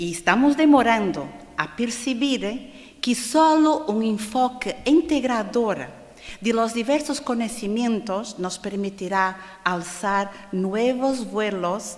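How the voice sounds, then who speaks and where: A woman speaks at a very slow pace with lively intonation. There is audible room echo. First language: Portuguese (speaking Spanish). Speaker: conference speaker on spiritism. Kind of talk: lecture. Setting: stage with audience at a congress. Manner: slow, deliberate; halting, with fillers.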